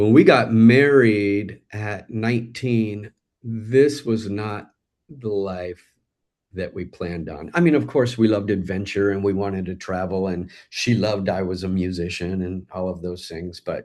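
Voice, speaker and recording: Against a quiet background, a man speaks at a fairly slow pace in a fairly low pitch with ordinary pitch variation. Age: 50s. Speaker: musician and author. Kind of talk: interview. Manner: halting.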